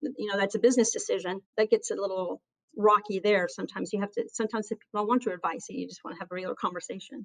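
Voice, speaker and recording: A woman with an American accent is heard in a dry, close sound with no echo. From US South. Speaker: aviation safety chief. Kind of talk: interview. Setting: podcast. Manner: earnest, passionate.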